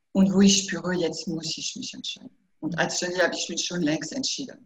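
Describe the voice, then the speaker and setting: A somewhat breathy woman's voice at medium pitch. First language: French (speaking German). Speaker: hypnotherapist. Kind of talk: interview. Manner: halting.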